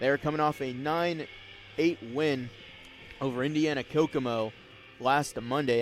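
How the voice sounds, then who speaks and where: A man with a plain, everyday voice talks at a medium pitch and moderate pace, his intonation fairly even. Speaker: sports play-by-play broadcaster. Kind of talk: baseball TV broadcast play-by-play.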